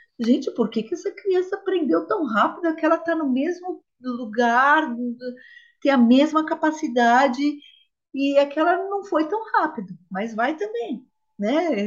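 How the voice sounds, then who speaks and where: A woman's high-pitched voice comes through at a fairly slow pace. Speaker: podcast co-host. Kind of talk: casual chat.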